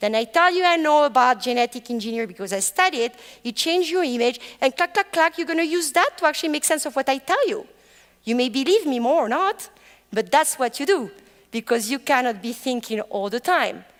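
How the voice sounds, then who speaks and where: With a French accent, a woman speaks at a high pitch and a fairly quick pace, her pitch swinging very widely. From France. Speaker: professor. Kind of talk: lecture.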